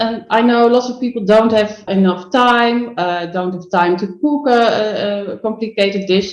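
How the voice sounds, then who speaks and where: With a Dutch accent, a woman speaks at a moderate pace. Her pitch is fairly high, with ordinary pitch variation. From Netherlands. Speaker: food photographer and business coach. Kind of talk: podcast interview. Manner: halting, searching for words.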